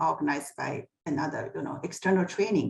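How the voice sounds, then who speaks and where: The speaker is a woman with a Chinese accent. Her pitch is medium. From China. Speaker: HR executive. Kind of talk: personal career story in a panel talk.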